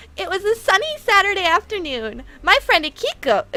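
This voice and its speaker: A put-on character voice, extremely high in pitch, runs at a fairly quick pace in a dramatic tone with very wide pitch swings. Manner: dramatic, exaggerated storytelling.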